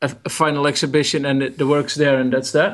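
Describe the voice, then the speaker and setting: In a Dutch accent, a man with a fairly high pitch talks at a fairly quick pace against a quiet background. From Netherlands. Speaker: photographer. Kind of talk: interview. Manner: halting.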